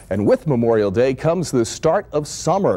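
A man speaks at a fairly quick pace with vocal fry, a dark, mellow tone and very wide pitch swings. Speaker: TV meteorologist and radio host. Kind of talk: TV news report. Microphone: lapel.

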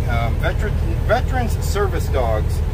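A man talks over loud background noise. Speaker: truck driver vlogger. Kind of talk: casual vlog chat. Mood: cheerful, amused. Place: car. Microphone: phone near.

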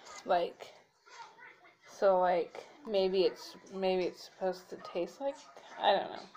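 A woman speaks at a very slow pace with big swings in loudness, light background noise behind her. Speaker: drink reviewer. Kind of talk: casual vlog chat. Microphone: phone near.

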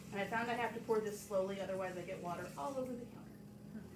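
Noticeable background noise runs under a woman talking at a moderate pace. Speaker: cooking instructor. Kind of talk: tutorial. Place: kitchen. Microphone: camera far.

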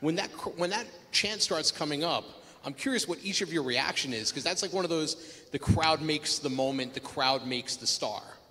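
Talking at a fairly quick pace, a man uses lively intonation. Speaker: panel host. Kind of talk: interview question. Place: stage. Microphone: handheld.

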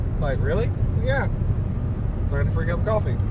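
Loud background noise sits behind a man's voice, and the sound is dry with no echo. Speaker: road trip vlogger. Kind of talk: casual vlog chat. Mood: relaxed, amused. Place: car. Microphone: phone near.

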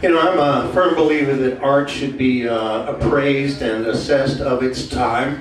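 Moderate pace and ordinary pitch variation from a man, with audible room echo and light background noise. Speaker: comic singer introducing a song. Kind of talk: stand-up comedy patter. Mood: deadpan joking. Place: stage. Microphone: camera far.

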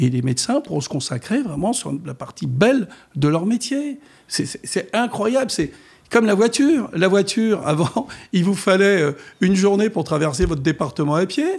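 Against a quiet background, a man talks at a moderate pace. His high voice makes very wide pitch swings. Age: 70s. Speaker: mayor. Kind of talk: radio interview. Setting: radio studio. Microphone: studio mic.

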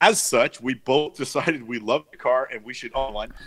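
The man's voice has a bright, sharp tone and a dry sound with no echo. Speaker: podcast co-host. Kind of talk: casual podcast commentary. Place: home room. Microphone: studio mic.

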